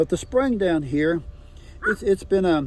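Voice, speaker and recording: A man speaks with an American accent. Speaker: local landowner. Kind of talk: storytelling. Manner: fast; halting.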